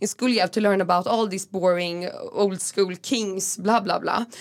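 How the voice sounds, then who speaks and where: A woman speaks in a Swedish accent at a moderate pace. Her pitch is medium and her intonation fairly even. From Stockholm, Sweden (Gamla stan). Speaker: food activist and entrepreneur. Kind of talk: interview. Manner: halting.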